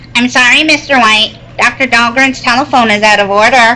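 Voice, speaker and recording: A woman's high, put-on character voice at a moderate pace, with clear background noise. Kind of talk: 1940s radio acting. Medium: stage play. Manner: polite, formal.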